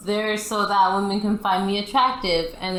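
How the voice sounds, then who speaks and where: A woman's medium-pitched voice at a moderate pace, with noticeable background noise and audible room echo. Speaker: gamer. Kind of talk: casual chat.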